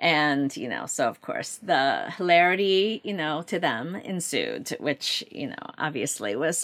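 A woman with a Korean accent speaks at a fairly slow pace, with very wide pitch swings. The recording is very clean, with a silent background. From South Korea (Seoul), raised from age 11 in Baltimore area. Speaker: novelist. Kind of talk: interview.

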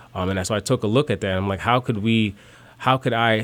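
A man with an American accent has an unremarkable speaking voice, fairly low in pitch, with fairly even intonation. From small-town Ohio and South Side Chicago. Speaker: real estate professional. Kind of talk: interview. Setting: studio.

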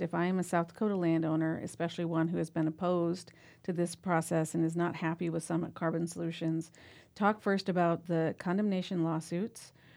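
Over a quiet background, a woman speaks fairly quickly and fairly low, with monotone, flat intonation. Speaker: radio host. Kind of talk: live radio interview. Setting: studio.

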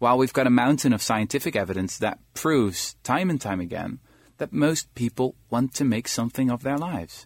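Speaking at a fairly quick pace with a Dutch accent, a man uses medium pitch and ordinary pitch variation in a very clean recording with a silent background and a dry, close sound with no echo. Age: 20s. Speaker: historian and author. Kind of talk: radio interview.

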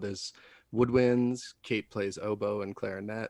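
In an American accent, an unremarkable speaking voice moves at a moderate pace with fairly even intonation. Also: man. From Wisconsin. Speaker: singer-songwriter. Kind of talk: interview. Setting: video call.

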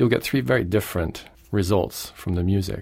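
A man with a plain, everyday voice, fairly low in pitch and at a fairly quick pace. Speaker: pianist and music professor. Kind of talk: interview.

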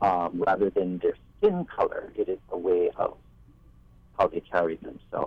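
Pausing long and often, a man talks at a moderate pace in a Hawaiian accent. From Maui, Hawaii. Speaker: musician. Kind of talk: radio roundtable discussion. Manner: halting.

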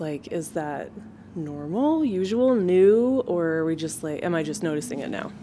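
A woman with an American accent and a normal speaking voice talks at a moderate pace and fairly low pitch with lively intonation. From Boise, Idaho. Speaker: listener asking question. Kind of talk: casual chat.

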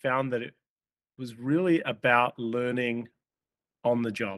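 An Australian accent at a fairly slow pace with ordinary pitch variation, in a very clean recording with a silent background and a dry, close sound with no echo. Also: man. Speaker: company CEO. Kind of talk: interview. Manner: halting, many fillers.

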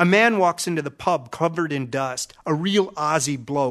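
A man with an American accent has an unremarkable speaking voice and a fairly high pitch. He talks at a moderate pace against a quiet background. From Minnesota. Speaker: storyteller. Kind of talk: scripted narration.

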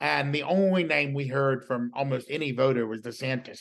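With a Southern accent, a man speaks at medium pitch and ordinary pitch variation over a quiet background. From US South, rural South Carolina. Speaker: political journalist. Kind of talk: interview conversation.

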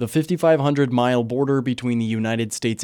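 In a very clean recording with a silent background, a man with a plain, everyday voice speaks at medium pitch with fairly even intonation. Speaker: radio news anchor. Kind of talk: evening radio newscast, reading short regional wildfire, wildlife and border items. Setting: radio studio. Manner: measured, even-paced formal newsreader delivery; crisp, neutral public-radio anchor tone moving briskly between stories.

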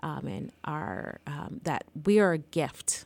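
This woman speaks very slowly with lively intonation and a slight Jamaican accent. The recording is very clean against a silent background. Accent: faint Jamaican accent in American English. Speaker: licensed counselor and therapist. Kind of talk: casual interview chat. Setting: podcast recording.

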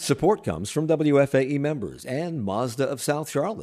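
With an American accent, a man speaks at a medium pitch with vocal fry. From Washington DC. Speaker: radio host. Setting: remote interview.

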